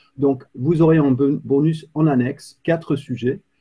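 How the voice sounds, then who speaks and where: This man has a medium pitch and a British accent. His voice is somewhat breathy. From Britain. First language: English (speaking French). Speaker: climate policy expert. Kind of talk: webinar presentation. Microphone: too quiet, computer mic.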